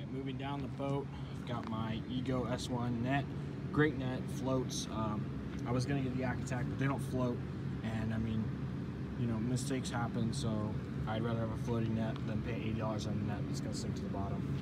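A man speaks at a moderate pace, his pitch varying in an ordinary way, against loud background noise. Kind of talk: casual gear walkthrough. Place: open country.

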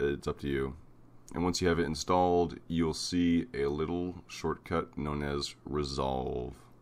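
A man speaks with a very deep, low pitch. His pace is fairly slow and his intonation fairly even. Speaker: video tutorial maker. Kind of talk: tutorial. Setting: screen recording voiceover.

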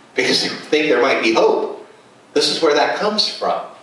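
A man is speaking. Room echo can be heard around his voice. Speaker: preacher. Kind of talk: sermon. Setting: church. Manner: animated. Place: home room.

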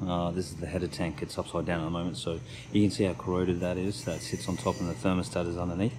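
A man speaks with a very deep, low pitch and ordinary pitch variation. There is noticeable background noise. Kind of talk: tutorial. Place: boat. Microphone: phone near.

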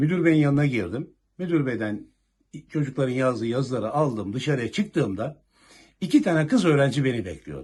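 Somewhat breathy and medium in pitch, a man talks at a fairly quick pace with lively intonation. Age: 60s. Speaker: retired police officer. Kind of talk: news interview.

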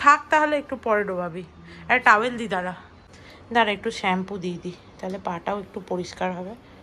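A bright, sharp tone with very wide pitch swings. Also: woman. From West Bengal, India. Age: 20s. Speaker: lifestyle vlogger. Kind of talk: casual vlog narration.

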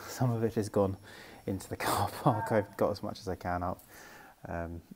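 The speaker has a plain, everyday voice with ordinary pitch variation. Light background noise is audible. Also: man. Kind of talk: casual vlog chat. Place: hall. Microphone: earbuds.

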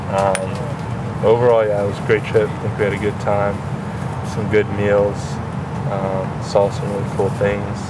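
A man at a fairly slow pace, amid loud background noise. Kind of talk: casual vlog chat. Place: train. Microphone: phone near.

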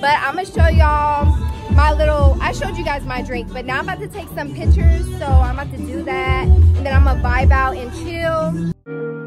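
With music in the background, a woman speaks at a fairly quick pace. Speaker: vlogger. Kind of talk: casual vlog chat. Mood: playful, mildly annoyed. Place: street. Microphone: phone near.

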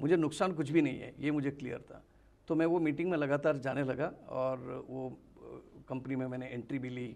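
This man's voice sits fairly high, with fairly even intonation. He talks at a moderate pace, his loudness swinging widely, with long, frequent pauses. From Mangalore, Karnataka; Karnataka, India. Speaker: direct selling trainer. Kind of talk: interview. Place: studio. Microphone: lapel.

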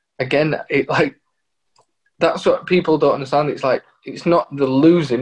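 A man speaks at a moderate pace in a flat monotone. The background is quiet. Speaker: footballer. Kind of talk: casual chat. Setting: video call. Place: home room. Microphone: video call.

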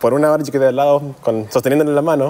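The speaker is a man. His voice sits at a medium pitch. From US, raised partly in Chile and Canada. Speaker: dental school student; guest. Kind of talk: interview. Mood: warm, earnest, smiling. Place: studio.

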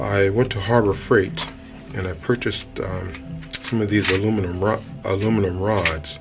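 A man's fairly low voice at a moderate pace, with ordinary pitch variation and clear music in the background. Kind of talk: tutorial. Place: workshop. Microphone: camera far.

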